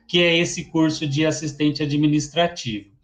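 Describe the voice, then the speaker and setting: In a São Paulo accent, a man speaks with a fairly high pitch. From Brazil, São Paulo. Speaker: teacher. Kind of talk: lecture. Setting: online webinar.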